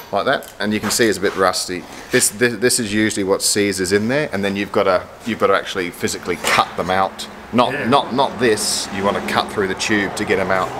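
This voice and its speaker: At a fairly quick pace, a man talks against noticeable background noise. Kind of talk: explaining repair to customer. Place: workshop. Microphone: camera far.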